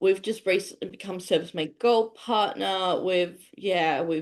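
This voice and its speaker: A woman's medium-pitched voice with an Australian accent, fairly even in intonation, over a quiet background. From Tasmania, Australia. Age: 30s. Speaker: business professional. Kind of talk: casual chat.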